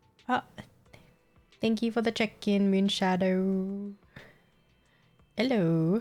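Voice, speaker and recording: Very slow speech from a woman with an Australian accent, long, frequent pauses and very even loudness, music in the background. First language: Vietnamese. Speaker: gaming streamer. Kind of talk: casual chat.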